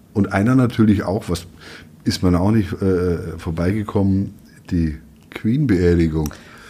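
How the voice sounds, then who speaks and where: With a dark, mellow tone and a very deep, low pitch, a man speaks at a fairly slow pace with ordinary pitch variation and long, frequent pauses. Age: 50s. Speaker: newspaper editor. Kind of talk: casual chat.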